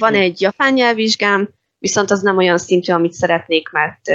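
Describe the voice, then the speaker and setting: With a quiet background, a woman talks in a plain, everyday voice at medium pitch, moving at a moderate pace with ordinary pitch variation. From Hungary. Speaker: Korean language teacher. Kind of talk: interview.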